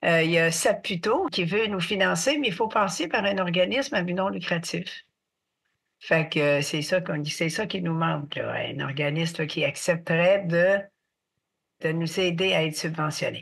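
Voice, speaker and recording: A woman with a Quebec accent speaks at a fairly low pitch. She goes at a fairly slow pace with ordinary pitch variation. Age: 70s. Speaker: artist and mental health advocate. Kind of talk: podcast interview.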